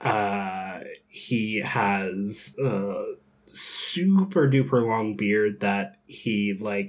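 A man with an American accent has an ordinary speaking voice. His pitch is fairly low. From US South (Georgia, Bible Belt). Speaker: tabletop role-playing gamer and streamer. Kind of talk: casual interview and tabletop game play.

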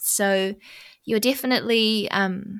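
This voice carries a New Zealand accent. Its intonation stays fairly even. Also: woman. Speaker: podcast host and MS patient. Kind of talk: interview conversation.

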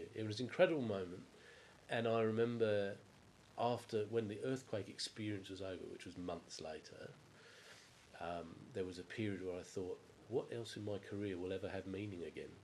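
Using an English accent, a man speaks at a fairly quick pace with fairly low pitch, fairly even intonation and long, frequent pauses. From England. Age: 50s. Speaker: water utility executive. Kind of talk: interview about life story.

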